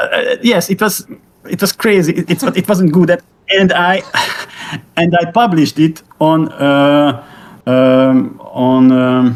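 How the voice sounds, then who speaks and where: A man speaks with a Hungarian accent at a very slow pace. His pitch is high. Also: lively intonation. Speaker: AI music creator. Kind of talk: interview. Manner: halting, many repetitions.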